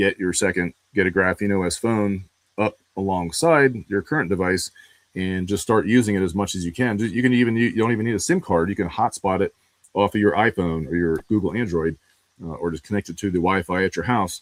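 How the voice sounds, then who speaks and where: A man with an American accent uses a normal speaking voice, fairly low in pitch with ordinary pitch variation, at a fairly quick pace in a dry, close sound with no echo. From northeastern US (New Hampshire, Pennsylvania). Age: 40s. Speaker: digital privacy and investigation expert. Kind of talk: live stream interview conversation. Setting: live video stream. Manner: casual, many filler words.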